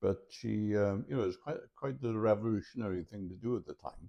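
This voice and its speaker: Here is a man with a Welsh accent at a moderate pace. His pitch is medium and varies in an ordinary way. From mid Wales (Montgomeryshire), born in London. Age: 60s. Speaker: retired journalist and university lecturer. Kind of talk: interview. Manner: halting.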